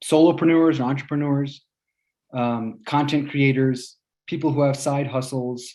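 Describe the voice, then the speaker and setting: A man speaks in a dark, mellow tone at a fairly high pitch. His pace is fairly slow and his intonation fairly even. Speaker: UX designer giving a meetup talk. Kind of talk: presentation talk. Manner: hesitant, many fillers.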